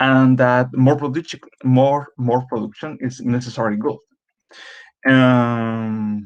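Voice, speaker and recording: A man's medium-pitched voice with a Spanish accent, very slow in pace, with monotone, flat intonation. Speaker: doctoral candidate. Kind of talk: conference presentation. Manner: halting.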